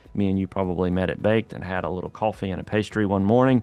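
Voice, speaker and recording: His intonation stays fairly even, and his pitch sits fairly low. This man speaks with a slight Southern accent. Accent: slight southern drawl. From Louisiana. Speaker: real estate agent / local guide vlogger. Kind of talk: casual video tour. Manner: casual, hesitant with fillers.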